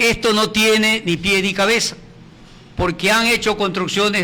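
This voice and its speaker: Raised, projected male voice. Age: 70s. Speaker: retired heritage campaigner. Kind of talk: TV interview.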